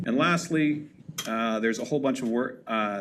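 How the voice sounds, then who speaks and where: A man's voice with audible room echo. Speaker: university lecturer. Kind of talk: lecture. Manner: fast.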